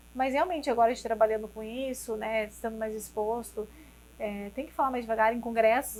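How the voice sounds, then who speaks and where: A woman speaks at a fairly quick pace and a fairly high pitch with monotone, flat intonation. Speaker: neurologist. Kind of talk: interview. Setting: restaurant studio. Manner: fast.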